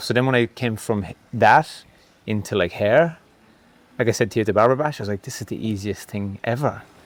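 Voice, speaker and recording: At a fairly quick pace, a man with an Irish accent speaks in a fairly low pitch. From Ireland. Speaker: former pro cyclist turned barber educator. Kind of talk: casual podcast conversation. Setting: in-person podcast filmed in Bali.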